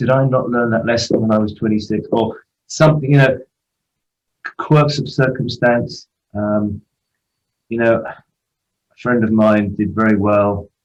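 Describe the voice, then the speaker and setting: Pausing long and often, a man speaks fairly slowly in an English accent with fairly even intonation. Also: medium pitch for a man. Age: 60s. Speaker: football agent. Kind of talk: interview.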